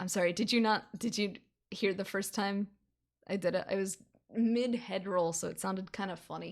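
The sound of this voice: An unforced reading voice sounds against a quiet background.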